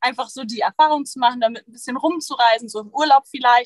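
Her high voice, a woman's, shows ordinary pitch variation. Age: 20s. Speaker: photographer and van nomad. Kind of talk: casual interview. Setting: in a van in Sweden, streamed.

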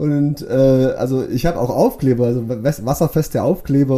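The man talks at a medium pitch with fairly even intonation. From Swabia, Bad Liebenzell (Baden-Württemberg), Portuguese family. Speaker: vehicle shipping agent. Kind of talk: casual interview.

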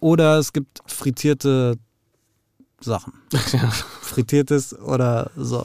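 With a dark, mellow tone and medium pitch, a man speaks at a very slow pace with long, frequent pauses and fairly even intonation, in a dry, close sound with no echo. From Frankfurt, Hesse, Germany. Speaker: podcast host. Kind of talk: interview. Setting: studio.

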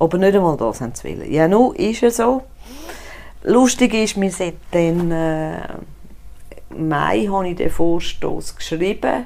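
This woman's voice is fairly low and moves at a fairly slow pace. Her intonation is lively, broken by long, frequent pauses. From Switzerland, Zurich. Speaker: cantonal politician. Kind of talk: casual interview.

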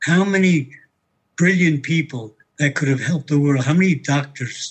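A man with a New York accent talks at a fairly high pitch, somewhat breathy. His pitch varies in an ordinary way. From New York City. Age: 90s. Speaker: war veteran. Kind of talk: testimony.

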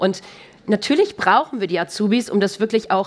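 A woman talks at a moderate pace in a normal speaking voice. Her pitch is medium, with ordinary variation. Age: 30s. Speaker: corporate sustainability manager. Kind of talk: live podcast interview. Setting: stage with live audience.

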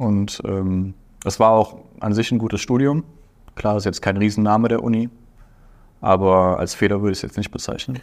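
Speech comes at a moderate pace with ordinary pitch variation and long, frequent pauses. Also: man, fairly low pitch for a man. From Aachen, western Germany. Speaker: business graduate, consulting intern. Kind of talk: interview. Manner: hesitant, many fillers.

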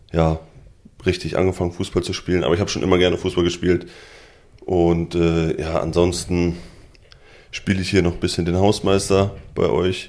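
A man's very deep, low voice at a moderate pace, with monotone, flat intonation. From Lübbecke, East Westphalia, Germany. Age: 20s. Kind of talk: casual chat. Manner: hesitant with fillers.

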